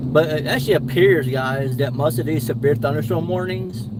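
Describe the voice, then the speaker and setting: Over noticeable background noise, a man with an American accent talks at a moderate pace with ordinary pitch variation. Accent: Appalachian accent noticed by others. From Eastern Kentucky / southwestern West Virginia. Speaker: storm chaser. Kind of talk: live storm chasing narration. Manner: casual, rambling with restarts.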